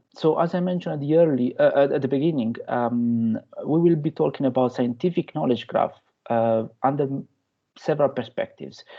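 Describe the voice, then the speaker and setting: The speaker has a strong Italian accent and talks at a fairly quick clip. Pitch rises and falls in an ordinary way. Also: man, fairly high pitch for a man. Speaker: researcher and lecturer. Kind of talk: lecture. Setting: guest lecture to university class. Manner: hesitant, many fillers.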